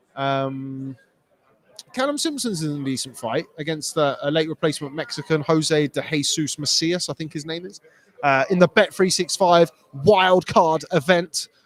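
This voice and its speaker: A man with a British accent speaks at a fairly high pitch, his loudness swinging widely. The sound is dry and close with no echo. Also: ordinary pitch variation, moderate pace. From Britain. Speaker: boxing journalist. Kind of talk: live stream chat answering viewer comments. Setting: live stream from Las Vegas. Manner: casual with many fillers.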